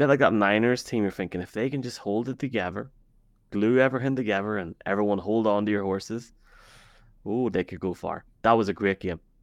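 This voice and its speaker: A man with a fairly low pitch and an Irish accent talks at a fairly quick pace with ordinary pitch variation. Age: 30s. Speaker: football podcaster. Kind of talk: casual sports chat. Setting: live video stream. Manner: animated.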